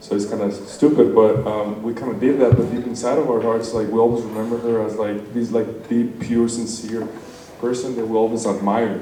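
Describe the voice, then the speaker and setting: In a Spanish accent, a man speaks fairly quickly at a medium pitch with monotone, flat intonation, amid audible room echo and noticeable background noise. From Mexico. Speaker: wedding guest giving a toast. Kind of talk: wedding speech. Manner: hesitant, with many fillers.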